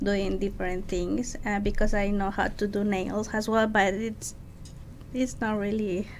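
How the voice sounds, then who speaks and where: There is audible room echo as a woman of medium pitch speaks with a Mexican accent. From Mexico City, Mexico. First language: Spanish. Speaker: makeup artist. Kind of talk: interview. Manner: halting.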